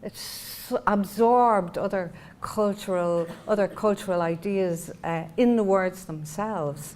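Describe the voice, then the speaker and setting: Fairly slow speech with hardly any pauses, in a Dublin accent. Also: woman, medium pitch for a woman, ordinary pitch variation. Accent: Irish, Dublin. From Ireland. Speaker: poet. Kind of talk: literary conversation. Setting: talk before an audience. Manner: halting, with many fillers.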